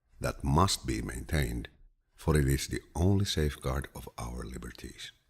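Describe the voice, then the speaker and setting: A man with a very deep, low pitch and vocal fry speaks at a moderate pace in a soothing tone. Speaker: voice actor. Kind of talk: audiobook reading of quotes. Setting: studio. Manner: relaxing, soothing.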